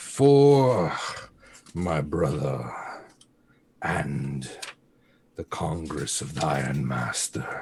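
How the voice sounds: With long, frequent pauses at a very slow pace, a man does a put-on character voice that is growling, guttural and hissing, very deep and low in pitch with ordinary pitch variation.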